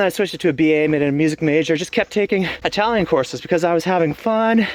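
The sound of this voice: A fast-paced man's voice, fairly high in pitch, with ordinary pitch variation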